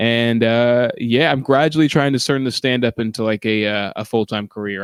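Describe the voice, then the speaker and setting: With an American accent and a plain, everyday voice, a man speaks at a medium pitch and a moderate pace with fairly even intonation in a dry, close sound with no echo. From New Zealand, after early years in Atlanta and Spain. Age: 20s. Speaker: stand-up comedian. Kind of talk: casual interview chat.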